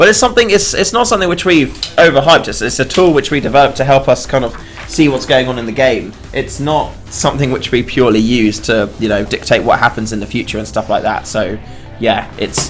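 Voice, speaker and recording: Against music in the background, a man talks at a fairly quick pace with a fairly high pitch and very wide pitch swings. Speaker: game developer streamer. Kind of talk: live game stream chat. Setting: live stream. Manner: casual, hesitant with fillers.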